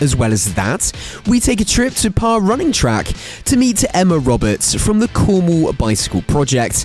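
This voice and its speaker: With music in the background, a man speaks at a moderate pace and very even loudness, his high pitch swinging very widely. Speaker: radio presenter. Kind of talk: radio news show introduction.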